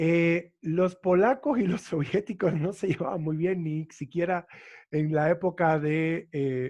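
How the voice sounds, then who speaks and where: A high-pitched male voice with ordinary pitch variation and a quiet background. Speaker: university lecturer. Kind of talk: lecture Q&A.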